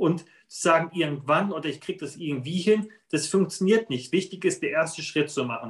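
This man has a plain, everyday voice, pitched fairly high. He talks at a moderate pace with lively intonation. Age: 30s. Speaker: financial planner and former soldier. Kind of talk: interview.

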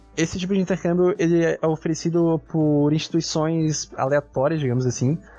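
A man with a fairly high voice speaks at a moderate pace, his intonation fairly even. His loudness stays very even, with music playing behind him. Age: 20s. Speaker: university student podcast host. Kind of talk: casual interview chat.

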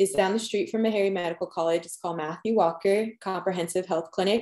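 In an American accent, a woman with an ordinary speaking voice keeps her medium pitch to fairly even intonation on a very clean recording with a silent background. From Long Island, New York. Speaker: dental student. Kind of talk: podcast interview.

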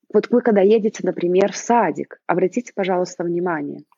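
At a fairly quick pace, a woman with a medium pitch speaks in an animated tone with vocal fry. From Belarus. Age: 30s. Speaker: mother living abroad. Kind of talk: interview.

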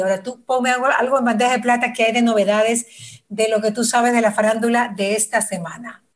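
Her voice is high-pitched, and the woman speaks at a fairly quick pace. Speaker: radio host. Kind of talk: casual chat.

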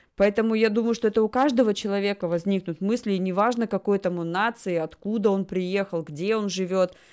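This woman has an ordinary speaking voice at a medium pitch, talking at a fairly quick pace with fairly even intonation and hardly any pauses. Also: very clean recording, silent background. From Russia. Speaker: talk show host. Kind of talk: casual chat.

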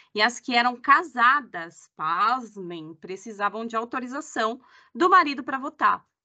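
The bright, sharp tone of a woman's voice comes through against a quiet background. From Brazil. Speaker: company employee, humanization lead. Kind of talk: casual chat.

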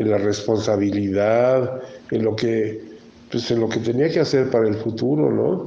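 There is audible room echo and noticeable background noise as a man with a Mexican accent talks at a fairly slow pace with very even loudness. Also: medium pitch for a man, ordinary pitch variation. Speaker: podcast host. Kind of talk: casual chat.

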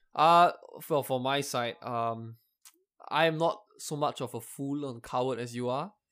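A man with an unremarkable speaking voice talks at a fairly slow pace with a medium pitch. His pitch variation is ordinary, and the recording is very clean with a silent background. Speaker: podcast co-host. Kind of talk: casual chat.

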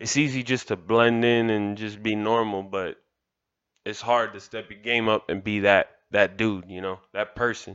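A man with an American accent speaks in a normal speaking voice at medium pitch and a moderate pace against a quiet background. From Miami, Florida (Kendall). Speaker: motivational podcaster. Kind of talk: motivational monologue.

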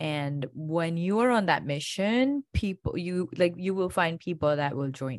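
In an Indian accent, a woman speaks at a fairly slow pace with hardly any pauses, her pitch fairly low and her intonation lively. Her loudness swings widely, over a quiet background. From India (Gujarat). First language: Indian language. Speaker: functional medicine doctor. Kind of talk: interview.

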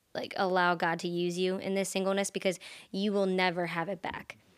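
A woman speaks at a moderate pace in a medium pitch, recorded very cleanly against a silent background. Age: 20s. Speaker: guest. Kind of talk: casual chat.

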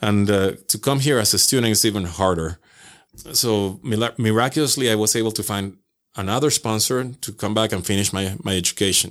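A man's fairly low voice with ordinary pitch variation at a moderate pace, on a very clean recording with a silent background. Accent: Venezuelan. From Venezuela, Caracas. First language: Spanish. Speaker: podcaster. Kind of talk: casual interview chat. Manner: halting.

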